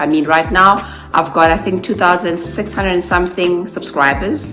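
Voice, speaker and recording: A woman speaks at a moderate pace, with audible room echo and music playing behind her. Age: 40s. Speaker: YouTuber and sales manager. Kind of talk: interview monologue. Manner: casual, with many fillers.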